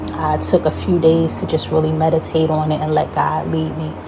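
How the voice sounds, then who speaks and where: A woman talks at a fairly quick pace, and noticeable background noise is present. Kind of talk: casual talk to camera, dream testimony and sermon.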